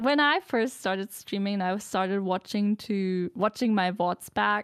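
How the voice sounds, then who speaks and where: In a very clean recording with a silent background, a woman with a non-native accent speaks at medium pitch and a fairly slow pace with ordinary pitch variation. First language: not English. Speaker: streamer. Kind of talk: casual chat.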